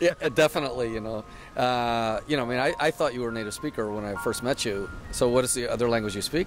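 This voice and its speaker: The speech comes at a very fast pace. Music runs in the background. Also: man, medium pitch for a man, ordinary pitch variation. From English-speaking country. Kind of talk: casual chat.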